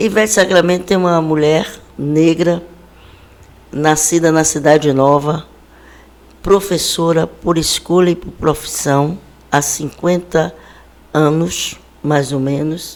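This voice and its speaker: A woman's very deep, low voice at a very slow pace, with fairly even intonation, long, frequent pauses and noticeable background noise. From Brazil, Bahia (Salvador). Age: 60s. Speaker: city government official and educator. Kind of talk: interview. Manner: formal.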